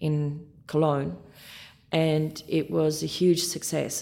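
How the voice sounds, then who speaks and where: A woman's very deep, low voice with a dark, mellow tone and an Australian accent. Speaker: orchestra conductor. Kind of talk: interview.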